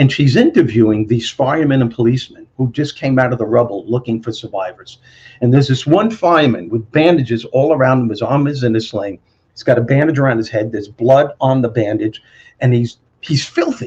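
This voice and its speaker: The speaker goes at a fairly quick pace in a somewhat breathy voice, with pitch varying in an ordinary way. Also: man, medium pitch for a man. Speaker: motivational speaker and former comedian. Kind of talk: interview answer. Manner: storytelling.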